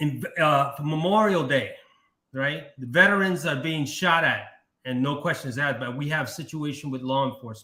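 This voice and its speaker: A man with a fairly high voice speaks in a bright, sharp tone with an American accent, moving at a moderate pace with ordinary pitch variation against audible room echo. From Brooklyn, New York. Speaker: livestream talk show host. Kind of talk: live talk show. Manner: halting.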